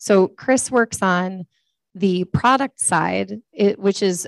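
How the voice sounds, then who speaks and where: A woman speaks loudly in a dry, close sound with no echo. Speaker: accessibility policy staff at a tech company. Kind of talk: conference presentation. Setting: room with live audience. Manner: slow and clear; speaking up loudly.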